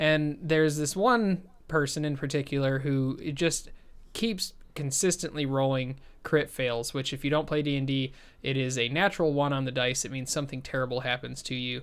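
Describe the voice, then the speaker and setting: At a moderate pace with ordinary pitch variation, the voice comes through on a very clean recording with a silent background. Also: man, fairly high pitch for a man. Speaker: podcast host. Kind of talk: casual comedic banter. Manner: loud, animated.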